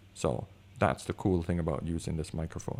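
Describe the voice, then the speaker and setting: The recording of a man is very clean, with a silent background. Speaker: photographer and video reviewer. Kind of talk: product review. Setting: home room with high concrete ceilings. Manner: goes higher when excited.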